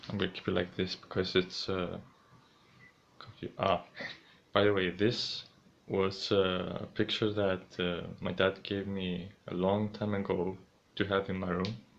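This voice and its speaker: A man with a very deep, low pitch speaks in a monotone, flat intonation. He goes at a fairly slow pace with long, frequent pauses. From Greece. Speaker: streamer. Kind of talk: casual vlog narration. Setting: home, in his room.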